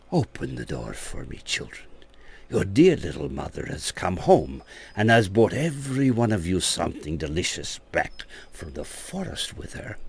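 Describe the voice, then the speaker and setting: A soft-spoken man uses a put-on character voice. His pitch sits fairly low, and he talks at a moderate pace. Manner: coaxing, deceptive.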